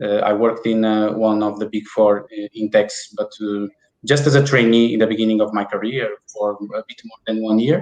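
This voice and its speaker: A man with a Portuguese accent. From Portugal (Porto). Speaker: IP business development manager. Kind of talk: interview.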